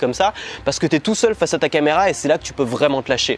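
A man with a fairly high voice rushes through his words very fast. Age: 20s. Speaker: online business YouTuber. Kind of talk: vlog-style sales pitch. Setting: hotel room. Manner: casual, hesitant with fillers.

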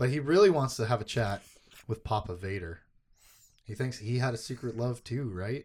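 Long, frequent pauses break up a man's somewhat breathy speech, which has ordinary pitch variation. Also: medium pitch for a man, moderate pace. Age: 30s. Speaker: podcast host. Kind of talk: casual chat.

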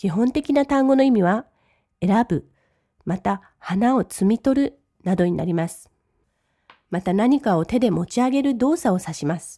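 A woman speaks at a fairly slow pace with long, frequent pauses, her fairly high, somewhat breathy voice dark and mellow in tone, swinging very widely in pitch, in a dry, close sound with no echo. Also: big swings in loudness. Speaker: English language teacher. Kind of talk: language lesson.

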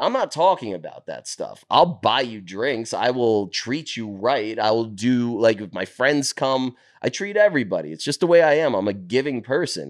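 A man with a New York accent, medium pitch and very wide pitch swings, at a moderate pace with hardly any pauses, against a quiet background. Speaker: finance worker, former sports media staffer. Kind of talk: casual chat. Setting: in a condo, recorded on the road. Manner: loud.

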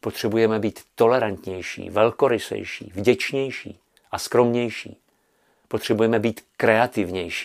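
Very slow male speech at a medium pitch with fairly even intonation. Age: old. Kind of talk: spiritual commentary.

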